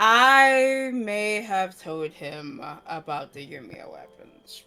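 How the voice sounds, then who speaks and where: Over background music, a put-on character voice mumbles at a very slow pace with a fairly high pitch. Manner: slow, mumbling.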